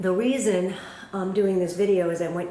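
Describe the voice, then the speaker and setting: Against noticeable background noise and audible room echo, a woman talks in a fairly low pitch. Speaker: cross stitch video blogger. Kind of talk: casual chat. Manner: casual, hesitant with fillers.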